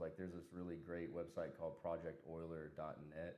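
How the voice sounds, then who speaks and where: A man with an American accent and a very deep, low pitch, plus audible room echo. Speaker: software engineer. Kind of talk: casual chat. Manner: casual, filler-heavy.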